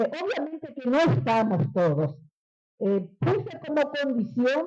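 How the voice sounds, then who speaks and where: A woman speaks at a very slow pace. Her high voice has a dark, mellow tone. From Paraguay, Encarnación. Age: 60s. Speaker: writer and veteran broadcaster. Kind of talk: book presentation talk.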